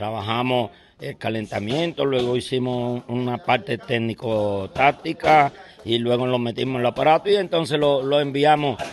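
A man with a medium pitch talks at a moderate pace, his pitch varying in an ordinary way. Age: 60s. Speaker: boxing trainer. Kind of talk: interview. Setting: boxing gym. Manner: halting.

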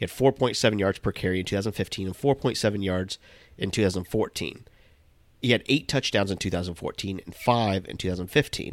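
A man with a fairly low voice speaks at a very fast pace. The recording is dry and close, with no echo. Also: very clean recording, silent background. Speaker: fantasy football podcast co-host. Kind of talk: casual chat.

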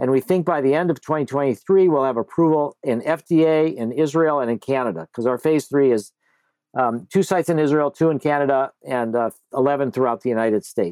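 A man with a plain, everyday voice talks at a fairly high pitch and fairly quick pace, with ordinary pitch variation. The recording is very clean with a silent background, and the sound is dry and close with no echo. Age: 60s. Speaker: psychedelic researcher, nonprofit founder. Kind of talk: interview.

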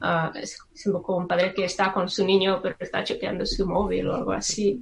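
The woman's voice sits at a medium pitch. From Czech Republic. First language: Czech (speaking Spanish). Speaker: psychologist and astrologer. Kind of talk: casual chat. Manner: halting, with hesitations.

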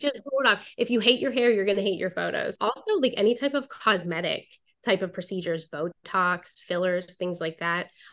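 With lively intonation and a moderate pace, a woman speaks at medium pitch in an unremarkable speaking voice. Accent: American. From Pittsburgh area, Beaver County, Pennsylvania. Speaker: branding photographer. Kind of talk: podcast interview.

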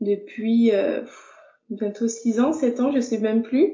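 A woman with a fairly high pitch talks at a very slow pace with fairly even intonation. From France, Burgundy (Dijon). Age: 30s. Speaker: visually impaired card maker. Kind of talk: interview conversation. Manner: hesitant, many fillers.

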